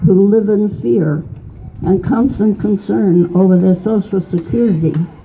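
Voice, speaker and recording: A woman's voice at a fairly slow pace over noticeable background noise. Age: 80s+. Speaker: political activist. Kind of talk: reading own political poem.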